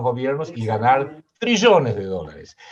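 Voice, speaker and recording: A man speaks at medium pitch and a fairly slow pace. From Argentina. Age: 60s. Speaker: political analyst and writer. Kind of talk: interview.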